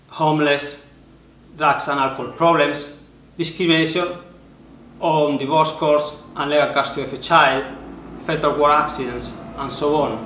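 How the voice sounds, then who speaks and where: With a strong Spanish accent, a man talks at a fairly high pitch while audible room echo surrounds his voice. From Spain. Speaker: author and conference speaker. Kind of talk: prepared presentation. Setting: recorded video for online conference.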